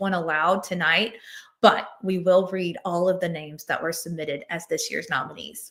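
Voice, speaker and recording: A woman with a plain, everyday voice talks at a moderate pace. Her pitch sits in the medium range. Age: 40s. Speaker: executive director of a nonprofit association. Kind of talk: award ceremony speech.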